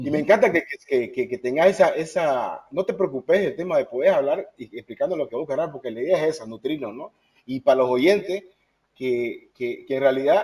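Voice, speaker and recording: Fairly high-pitched man with lively intonation and big swings in loudness, at a moderate pace. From South America. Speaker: podcast co-host. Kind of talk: interview. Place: home room. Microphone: video call.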